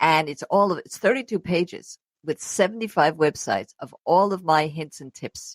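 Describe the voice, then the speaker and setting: This woman talks at a moderate pace with a fairly low pitch, the sound dry and close with no echo. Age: 70s. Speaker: travel show host. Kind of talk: interview.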